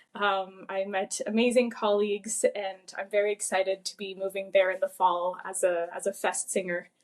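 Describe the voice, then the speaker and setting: The speaker talks with hardly any pauses in a monotone, flat intonation. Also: woman, medium pitch for a woman, moderate pace. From Quebec, Gatineau. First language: French. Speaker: opera singer. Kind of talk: interview.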